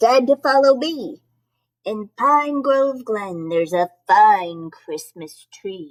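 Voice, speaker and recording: Using a put-on character voice, a woman speaks very slowly at a fairly high pitch. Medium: read story.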